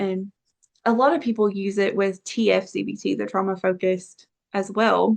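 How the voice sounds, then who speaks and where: A woman's normal speaking voice at medium pitch and a moderate pace, with ordinary pitch variation. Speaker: therapist. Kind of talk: interview. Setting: podcast.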